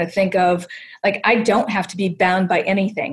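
A woman with an American accent and a plain, everyday voice talks at a moderate pace and medium pitch. The recording is very clean, with a silent background. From US Midwest, Ohio. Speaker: senior living designer and entrepreneur. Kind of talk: casual interview.

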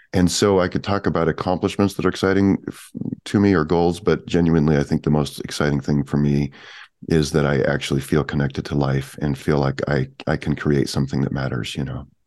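At a fairly quick pace, a man talks with a very deep, low pitch, vocal fry, and ordinary pitch variation. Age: 50s. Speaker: author and creativity teacher. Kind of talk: interview conversation.

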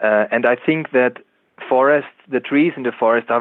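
A man with an Austrian accent at a moderate pace. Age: 30s. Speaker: biologist and author. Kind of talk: interview. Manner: halting.

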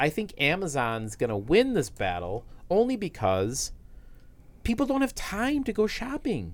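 On a very clean recording with a silent background, a man's voice swings very widely in pitch. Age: 40s. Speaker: tech podcast co-host. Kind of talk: casual chat.

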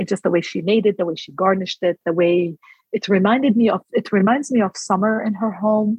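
A woman with an Arabic accent speaks at a fairly quick pace, her medium pitch moving with ordinary variation. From Palestine, outskirts of Jerusalem. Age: 40s. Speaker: food blogger. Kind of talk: interview.

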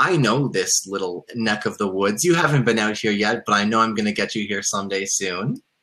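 An ordinary speaking voice at a fairly quick pace, with ordinary pitch variation and hardly any pauses. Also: man, fairly low pitch for a man. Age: 30s. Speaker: realtor. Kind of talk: casual chat.

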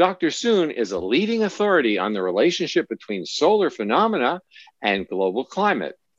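Vocal fry colors a man's fairly high-pitched voice, which moves at a fairly quick pace with very wide pitch swings. The sound is dry and close with no echo, over a quiet background. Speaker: talk show co-host. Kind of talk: interview.

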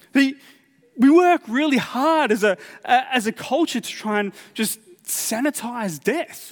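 Talking fairly slowly, a man with an extremely high pitch uses lively intonation. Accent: Australian. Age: 40s. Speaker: pastor. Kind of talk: sermon. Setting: church. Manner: halting, frequent repetitions and fillers.

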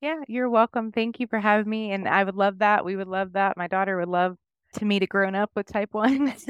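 An unremarkable speaking voice, a woman with an American accent at a medium pitch and a fairly quick pace, fairly even intonation, dry, close sound with no echo. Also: quiet background. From Oklahoma. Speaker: nurse and diabetes educator. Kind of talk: interview. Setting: remote call.

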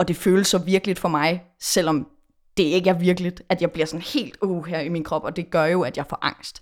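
The recording is very clean, and the background is silent. Here, an unremarkable speaking voice keeps a moderate pace and fairly even intonation. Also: woman, fairly low pitch for a woman. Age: 20s. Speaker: pop musician. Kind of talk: casual chat.

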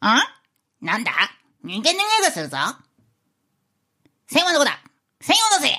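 This put-on character voice is high-pitched and moves at a moderate pace. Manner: comedic impression.

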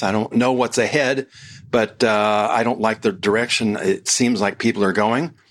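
A man's unremarkable speaking voice, medium in pitch, with an American accent. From United States. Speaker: podcast host and author. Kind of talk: solo podcast monologue.

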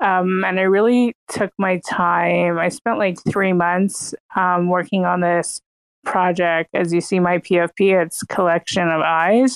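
A woman speaks at a very slow pace with fairly even intonation. The sound is dry and close, with no echo. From Toronto, Canada. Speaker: interior designer and artist. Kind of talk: casual chat. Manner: halting.

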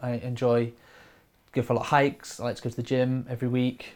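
Speaking at a moderate pace, a man with a Lincolnshire accent talks in a medium pitch. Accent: northern English (Lincolnshire). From Grimsby, east coast of England. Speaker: camera operator and video director. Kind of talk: casual interview.

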